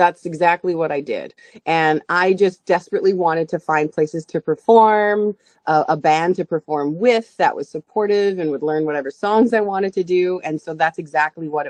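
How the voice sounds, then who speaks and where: A woman with an unremarkable speaking voice talks at a moderate pace and medium pitch, with ordinary pitch variation. The sound is dry and close, with no echo. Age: 40s. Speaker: singer and stage performer. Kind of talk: interview.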